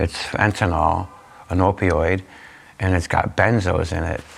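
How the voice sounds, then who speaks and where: A man with a Canadian accent speaks at a very deep, low pitch and a fairly slow pace. His intonation is fairly even, and there is noticeable background noise. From Niagara region, Ontario, Canada. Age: 50s. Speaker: community volunteer who reverses overdoses. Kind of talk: interview answer. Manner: casual, conversational.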